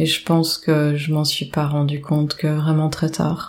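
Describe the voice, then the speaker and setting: Monotone, flat intonation at a fairly slow pace. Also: woman. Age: 40s. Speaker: domestic violence survivor. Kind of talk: testimony. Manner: halting.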